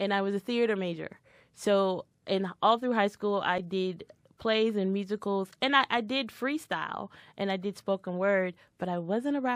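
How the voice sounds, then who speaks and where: In a normal speaking voice, a woman with an American accent talks at a moderate pace with medium pitch and ordinary pitch variation, in a very clean recording with a silent background and a dry, close sound with no echo. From Washington DC. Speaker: rapper and spoken word artist. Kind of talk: casual interview chat.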